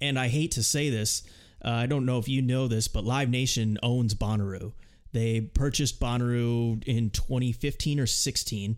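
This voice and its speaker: A man speaks with a plain, everyday voice at a medium pitch. His pace is moderate and his pitch varies in an ordinary way. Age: 20s. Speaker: music podcast host. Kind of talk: casual chat.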